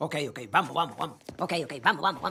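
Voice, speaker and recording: Someone speaks in a cartoonish character voice at a very fast pace. The loudness swings widely. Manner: firm.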